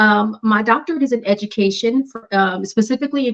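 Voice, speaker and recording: A woman with an American accent and a plain, everyday voice, at a fairly quick pace with ordinary pitch variation. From South Los Angeles. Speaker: public health professional with new doctorate. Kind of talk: interview.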